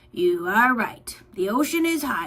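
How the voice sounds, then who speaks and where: Putting on a raspy character voice, a woman speaks at a fairly slow pace with a fairly high pitch and very wide pitch swings. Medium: read story.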